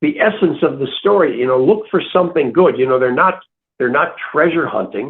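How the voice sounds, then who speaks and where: With an American accent, a man talks at a fairly quick pace, high in pitch, with lively intonation. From US Midwest. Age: 70s. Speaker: author. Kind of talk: interview. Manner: halting, many repeated words.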